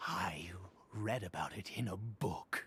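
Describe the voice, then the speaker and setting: A man's put-on character voice, fairly low in pitch, nervous in tone, at a fairly slow pace. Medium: video game. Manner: hesitant, stammering, with nervous laughs.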